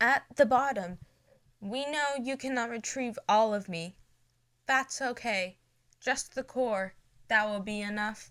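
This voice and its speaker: Using a put-on robotic character voice, a woman speaks at a fairly high pitch and a fairly slow pace, with long, frequent pauses. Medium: read story. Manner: each word jarringly distinct.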